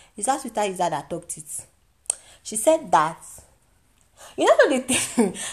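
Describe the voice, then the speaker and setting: Somewhat breathy and fairly high in pitch, a woman speaks with very wide pitch swings, big swings in loudness and long, frequent pauses. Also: moderate pace. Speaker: podcast host, celebrity gossip. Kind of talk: casual chat. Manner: animated.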